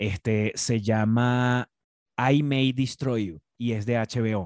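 The recording is dry and close, with no echo. A man talks at a medium pitch. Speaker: podcast host. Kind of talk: casual chat. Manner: animated.

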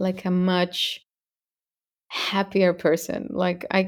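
In a Spanish accent, a woman talks at a medium pitch. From Mexico. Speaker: singer. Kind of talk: interview.

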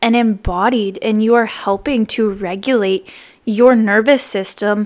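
A woman talks at a fairly slow pace with a fairly high pitch. She has a normal speaking voice with fairly even intonation. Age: 20s. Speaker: podcast host and wellness coach. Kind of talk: solo podcast monologue.

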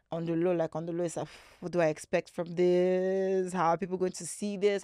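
A woman with a Nigerian accent speaks at a fairly quick pace in a fairly low, dark, mellow voice with monotone, flat intonation. The sound is dry and close with no echo, and the background is quiet. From Nigeria (Lagos). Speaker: content creator. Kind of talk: casual chat. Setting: studio.

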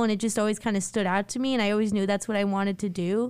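In a very clean recording with a silent background, a woman with an American accent speaks at a fairly high pitch in a monotone, flat intonation. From Long Island, New York. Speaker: student podcast host. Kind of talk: casual chat.

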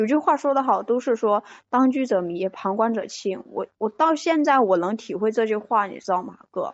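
A woman speaks in an ordinary speaking voice, fairly high in pitch, at a moderate pace. Her intonation is lively and she hardly pauses at all. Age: 20s. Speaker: caller seeking relationship advice. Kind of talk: call-in advice conversation. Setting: phone call into live stream.

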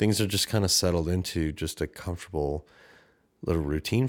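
A man with a Canadian accent, very deep and low in pitch, at a fairly quick pace with ordinary pitch variation. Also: very clean recording, silent background. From Canada. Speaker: podcast host. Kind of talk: solo podcast monologue, personal reflection. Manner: casual, self-deprecating, conversational.

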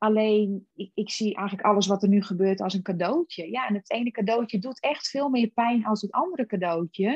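A woman speaks somewhat breathy and fairly high, at a fairly quick pace with ordinary pitch variation and hardly any pauses. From Friesland, Netherlands. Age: 40s. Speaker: personal development coach. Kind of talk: casual chat.

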